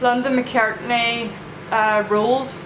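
Amid noticeable background noise, a woman speaks in a monotone with flat intonation. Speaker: vlogger. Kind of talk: casual vlog chat. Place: home room. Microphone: phone near.

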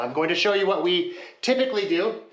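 There is audible echo from the room. A man is the one talking. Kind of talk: tutorial. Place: bathroom. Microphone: phone near.

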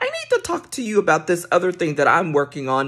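A woman at a fairly quick pace, her pitch fairly low and varying in an ordinary way. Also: quiet background. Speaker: career coach. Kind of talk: casual vlog tip. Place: home room. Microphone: phone near.

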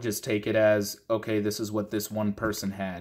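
At a moderate pace, a man with an American accent talks against a quiet background. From Minnesota. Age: 30s. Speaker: gun parts reviewer; product reviewer vlogger. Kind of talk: casual talking-head video. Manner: casual, rambling with fillers. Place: home room. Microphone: phone near.

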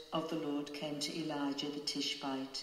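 A woman's very deep, low voice, very slow and monotone with flat intonation, over noticeable background noise. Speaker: parish reader. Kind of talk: scripture reading aloud.

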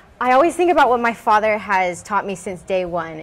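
Over light background noise, a woman with an American accent speaks at a moderate pace. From Houston, Texas. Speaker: beauty pageant winner and fashion designer; guest. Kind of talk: interview. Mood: warm, upbeat, smiling. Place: workshop.

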